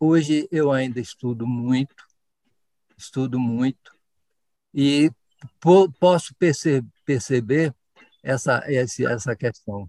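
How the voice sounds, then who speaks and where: The man's tone is dark and mellow. He speaks at a very slow pace. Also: medium pitch for a man, ordinary pitch variation. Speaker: knee surgeon. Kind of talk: interview testimony.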